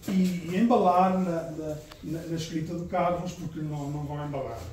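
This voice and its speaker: At a fairly slow pace, a man speaks with a high pitch amid noticeable background noise and audible room echo. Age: 60s. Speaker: novelist, book sponsor at launch. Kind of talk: speech at book launch. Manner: halting, many repetitions and fillers.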